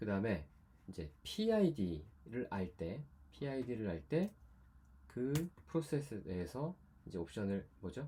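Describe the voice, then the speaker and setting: A man speaks at a fairly slow pace in a dark, mellow, somewhat breathy tone, with very wide pitch swings. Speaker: university lecturer. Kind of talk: lecture.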